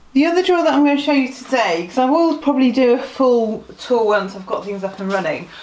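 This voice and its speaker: A woman speaks with very wide pitch swings over noticeable background noise. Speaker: sewing vlogger. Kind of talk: casual talk to camera.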